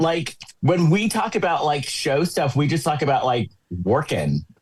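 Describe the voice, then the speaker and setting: A man speaks in a plain, everyday voice. His loudness stays very even, with ordinary pitch variation. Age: 60s. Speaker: podcast host. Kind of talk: casual chat.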